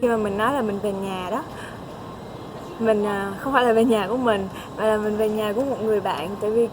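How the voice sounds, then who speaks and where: There is audible room echo and noticeable background noise as a woman speaks at a moderate pace in a fairly high pitch. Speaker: vlogger, international student. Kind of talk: casual vlog talk.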